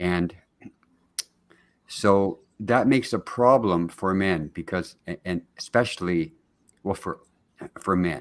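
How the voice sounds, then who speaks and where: A man speaks at a very slow pace with long, frequent pauses. His very deep, low voice shows ordinary pitch variation. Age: 70s. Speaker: family constellation practitioner and men's mental health advocate. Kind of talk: podcast interview. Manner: halting, many false starts.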